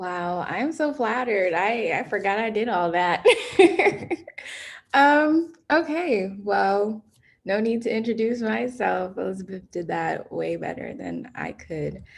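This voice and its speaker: An ordinary speaking voice from a woman at medium pitch, with lively intonation and an American accent. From New York City, the Bronx. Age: 20s. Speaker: college student and environmental activist. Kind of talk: online presentation. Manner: casual.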